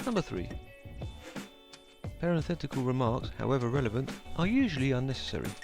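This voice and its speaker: With a British accent, a man speaks at a very fast pace broken by long, frequent pauses while music plays in the background. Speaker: English teacher.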